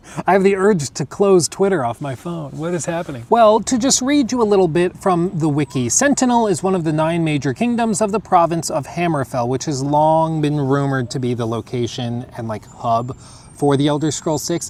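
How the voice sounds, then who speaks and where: A man talks at a fairly quick pace with a fairly high pitch and an American accent. His pitch swings very widely. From United States. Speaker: gaming streamer. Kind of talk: casual chat.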